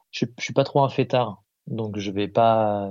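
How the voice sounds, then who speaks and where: A man's medium-pitched voice moves very slowly, its intonation fairly even. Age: 30s. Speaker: musician, percussionist. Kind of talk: casual chat. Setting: phone call.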